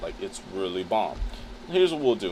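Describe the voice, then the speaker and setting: A man talks in an animated tone. Noticeable background noise is present. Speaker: photographer and streamer. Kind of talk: live stream tutorial. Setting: live stream. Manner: casual, animated.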